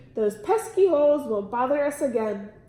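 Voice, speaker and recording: Using a put-on character voice, a woman with a high pitch talks at a moderate pace with very wide pitch swings and a slight echo. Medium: read story. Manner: prim, regal.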